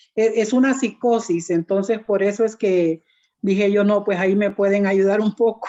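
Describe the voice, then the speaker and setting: The voice has a dark, mellow tone, fairly even intonation, very even loudness, and a moderate pace. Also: woman, medium pitch for a woman. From Honduras. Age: 60s. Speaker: older adults' group participant. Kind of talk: panel introduction at a conference workshop.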